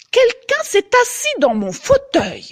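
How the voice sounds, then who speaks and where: A woman's put-on character voice at a fairly slow pace. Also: extremely high pitch for a woman. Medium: read story.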